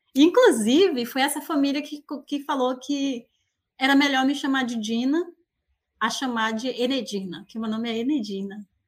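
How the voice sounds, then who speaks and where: A woman is speaking at a high pitch. Her pace is moderate. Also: ordinary pitch variation. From Bahia, Brazilian Northeast. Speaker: researcher. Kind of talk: casual chat. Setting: outdoors in the countryside.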